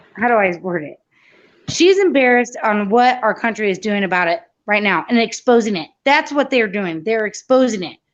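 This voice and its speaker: A woman with an ordinary speaking voice talks at a moderate pace and a fairly high pitch. Her intonation is lively, and the background is quiet. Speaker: caller. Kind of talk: heated debate.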